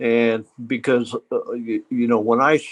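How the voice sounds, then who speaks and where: A man's medium-pitched voice at a fairly slow pace, dry and close with no echo. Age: 60s. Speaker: hunter. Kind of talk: storytelling interview. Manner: halting.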